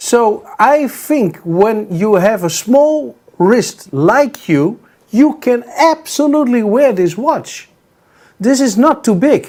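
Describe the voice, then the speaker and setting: The speech moves at a very slow pace, and its intonation is lively. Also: man, extremely high pitch for a man. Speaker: watch sales show co-host. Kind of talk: sales pitch. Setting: remote studio link. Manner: halting.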